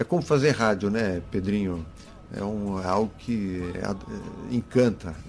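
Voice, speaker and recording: Over music in the background, a man with a fairly low pitch talks at a fairly slow pace with ordinary pitch variation. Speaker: reggae DJ and culture organizer. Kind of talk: radio interview, measured explanation. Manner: articulate, formal, deliberate.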